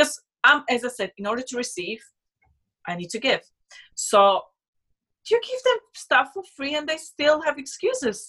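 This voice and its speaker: A woman's raised, projected voice, high-pitched with a bright, sharp tone, very wide pitch swings, big swings in loudness, a moderate pace and long, frequent pauses. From Slovakia. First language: Slovak. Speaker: personal trainer and former bodybuilder. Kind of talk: casual interview.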